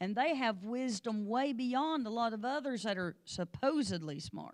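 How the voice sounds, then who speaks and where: An animated, fairly high-pitched woman with an American accent at a moderate pace, in a very clean recording with a silent background. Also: lively intonation. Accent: strong rural hill accent, sounds like a hick. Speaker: Sunday school teacher, pastor's wife. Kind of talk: Bible lesson in church. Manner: animated, conversational.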